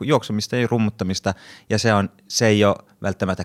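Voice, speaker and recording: Speaking with a Swedish accent, a man talks at a fairly quick pace and a fairly low pitch with fairly even intonation, on a very clean, dry, close recording with no echo and a silent background. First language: Swedish (speaking Finnish). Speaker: actor and podcast moderator. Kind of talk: casual panel discussion. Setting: studio.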